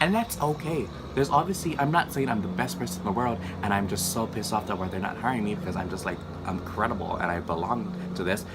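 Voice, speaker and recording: A man talks at a very fast pace in an animated tone, his pitch swinging very widely over noticeable background noise. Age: 20s. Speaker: vlogger. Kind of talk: casual vlog monologue.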